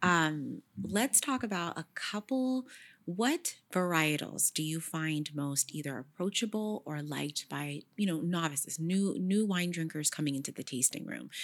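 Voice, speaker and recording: In an American accent, a woman with a fairly low pitch and an ordinary speaking voice talks at a fairly slow pace with lively intonation on a very clean recording with a silent background. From Sacramento, California. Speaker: podcast host. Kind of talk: scripted narration; casual chat.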